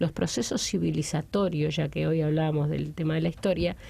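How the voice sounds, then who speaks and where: This woman speaks at a moderate pace. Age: 60s. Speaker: political commentator. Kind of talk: panel debate.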